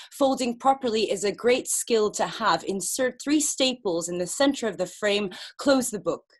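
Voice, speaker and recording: A woman's fairly high, lively voice at a moderate pace with hardly any pauses, an ordinary speaking voice, over a quiet background. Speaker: poet and performance artist; poet. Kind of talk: experimental poetry performance. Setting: video call. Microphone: webcam.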